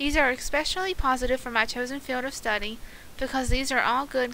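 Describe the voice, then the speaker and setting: The voice is raised and projected, with an American accent. The pace is very fast. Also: woman. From US South, West Virginia. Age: 20s. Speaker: counseling student. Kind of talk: class presentation, scripted. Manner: reading aloud, steady.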